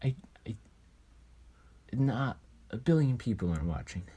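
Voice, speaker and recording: The pace is moderate, with long, frequent pauses. The tone is dark, mellow and somewhat breathy. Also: man. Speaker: podcast co-host. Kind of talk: casual chat. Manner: monotone.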